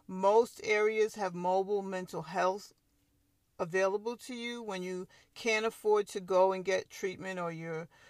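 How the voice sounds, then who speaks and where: A plain, everyday voice with an American accent speaks at a fairly slow pace with fairly even intonation, in a very clean recording with a silent background and a dry, close sound with no echo. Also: woman. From Long Island, New York. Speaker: podcast host. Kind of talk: solo podcast monologue.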